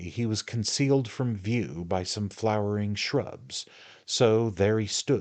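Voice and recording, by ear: Someone reads aloud using a natural voice.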